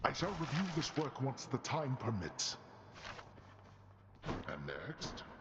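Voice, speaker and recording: A man puts on a character voice, fairly high-pitched with lively intonation. He goes at a fairly slow pace with long, frequent pauses over clear background noise. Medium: video game. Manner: imperious, cold.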